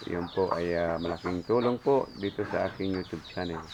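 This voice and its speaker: At a fairly quick pace and with ordinary pitch variation, a man talks through noticeable background noise. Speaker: pig farmer and vlogger. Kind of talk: casual vlog tutorial. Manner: hesitant with many fillers.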